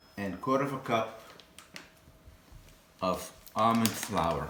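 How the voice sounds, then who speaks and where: A man with a Lebanese accent, medium pitch and lively intonation, amid noticeable background noise and audible room echo. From Lebanon. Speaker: home cook and cooking teacher. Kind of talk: cooking tutorial. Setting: home kitchen. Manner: casual, with some hesitations.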